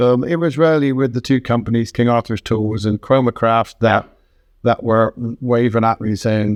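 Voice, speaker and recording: In a London accent, a man talks at a medium pitch with fairly even intonation, the sound dry and close with no echo against a quiet background. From England. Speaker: woodturner and woodworking teacher. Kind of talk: interview. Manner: fast.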